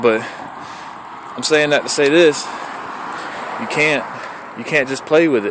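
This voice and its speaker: Noticeable background noise sits behind the voice. A man speaks at a very fast pace. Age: 30s. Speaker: recovering addict vlogger. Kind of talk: personal testimony vlog. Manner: animated.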